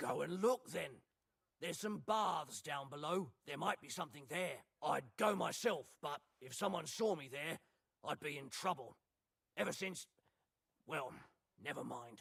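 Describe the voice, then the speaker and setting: A man puts on a gruff, raspy character voice with a fairly high pitch and lively intonation. He keeps a moderate pace, with long, frequent pauses. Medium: video game. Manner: gruff, complaining.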